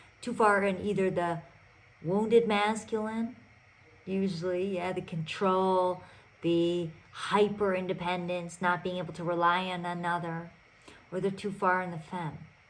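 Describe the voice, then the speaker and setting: At a fairly slow pace, a woman speaks in a medium pitch with monotone, flat intonation, and the room echo is audible. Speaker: podcast host and relationship coach. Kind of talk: solo podcast monologue. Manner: loud.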